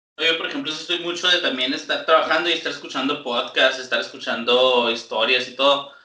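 Audible room echo surrounds a man with a fairly high pitch and fairly even intonation. He speaks at a fairly quick pace with big swings in loudness. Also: hardly any pauses. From Chihuahua, Mexico. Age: 20s. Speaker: podcast co-host. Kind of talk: casual chat.

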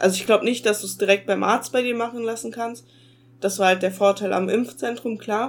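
A woman talks at a fairly quick pace and fairly high pitch with fairly even intonation. Hers is an unremarkable speaking voice. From Ruhr area, Germany. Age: young. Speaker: podcast co-host. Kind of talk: casual chat. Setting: video call.

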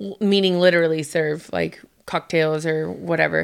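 An ordinary speaking voice with ordinary pitch variation comes through in a very clean recording with a silent background. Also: woman. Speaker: podcast co-host. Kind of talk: casual chat.

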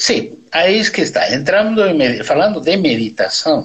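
In a Bolivian accent, a man speaks at a high pitch. His intonation is lively and his pace fairly slow. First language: Spanish (speaking Portuguese). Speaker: neurosurgeon. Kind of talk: interview. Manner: halting.

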